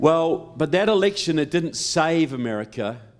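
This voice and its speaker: A man speaks at a fairly slow pace with a New Zealand accent and lively intonation. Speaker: political speaker. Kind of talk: public speech. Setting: stage with audience.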